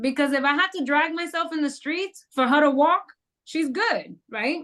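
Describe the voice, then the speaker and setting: A woman projects her raised voice at a high pitch with a bright, sharp tone. She keeps a moderate pace and ordinary pitch variation. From New York City, the Bronx. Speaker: entrepreneur. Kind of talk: podcast interview.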